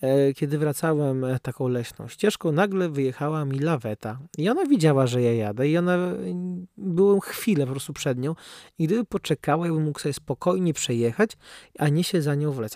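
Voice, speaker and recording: A man with a fairly high pitch and a dark, mellow tone speaks at a fairly quick pace with lively intonation, in a dry, close sound with no echo on a very clean recording with a silent background. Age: 20s. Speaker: seminarian podcaster. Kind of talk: casual chat. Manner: casual, hesitant with fillers.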